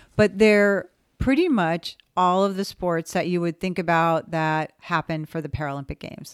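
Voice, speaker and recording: A woman's fairly low voice with a Californian accent at a moderate pace, with ordinary pitch variation, a very clean recording with a silent background, and dry, close sound with no echo. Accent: Californian American. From Southern California, West Covina. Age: 60s. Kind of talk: interview.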